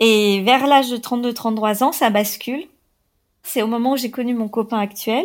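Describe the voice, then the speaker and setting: In a very clean recording with a silent background, a woman speaks at a fairly high pitch. Her pace is fairly slow and her intonation fairly even. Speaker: woman sharing her abortion story. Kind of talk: personal testimony. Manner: halting.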